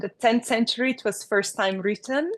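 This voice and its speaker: In a quiet background with a dry, close sound and no echo, a woman speaks in a Slovenian accent with ordinary pitch variation. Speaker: architect. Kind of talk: interview. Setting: podcast recording. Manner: hesitant, with many fillers.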